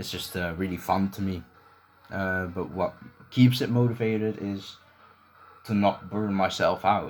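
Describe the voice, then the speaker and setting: A mumbling man with a very deep, low voice, fairly even intonation and a fairly slow pace. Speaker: gaming YouTuber and leaderboard moderator. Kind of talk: Q&A video, casual monologue. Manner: hesitant, many fillers.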